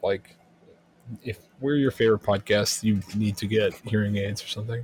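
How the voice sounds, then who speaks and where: The man's voice is fairly low and somewhat breathy. He keeps a moderate pace. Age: 30s. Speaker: podcast co-host. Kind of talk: casual chat.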